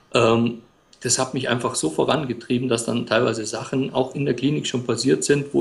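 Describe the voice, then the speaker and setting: A man's medium-pitched voice with vocal fry, a fairly quick pace, and ordinary pitch variation. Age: 40s. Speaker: blogger and freelance writer. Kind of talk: interview.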